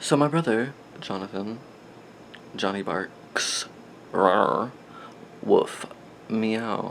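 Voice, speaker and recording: Soft-spoken and playful in tone, a man talks at a very slow pace with a fairly low pitch and ordinary pitch variation. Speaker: vlogger. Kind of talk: casual show-and-tell vlog. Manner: rambling, playful.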